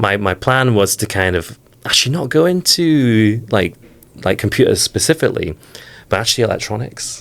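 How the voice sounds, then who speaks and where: This man talks at a moderate pace in a medium pitch, his voice swinging very widely up and down. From northeast England, near Whitley Bay. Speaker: software engineer. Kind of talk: interview.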